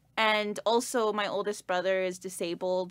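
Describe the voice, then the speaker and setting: Speaking with a Canadian accent, a woman talks at a fairly slow pace and medium pitch. The recording is very clean, with a silent background. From Canada. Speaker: performer and sound designer. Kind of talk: casual interview chat. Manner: casual, many fillers.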